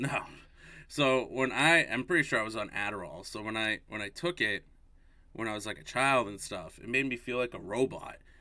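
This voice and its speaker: A loud man with an American accent speaks at a moderate pace and medium pitch, his tone bright and sharp. His pitch variation is ordinary, and the recording is very clean with a silent background. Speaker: podcast co-host. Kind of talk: casual chat.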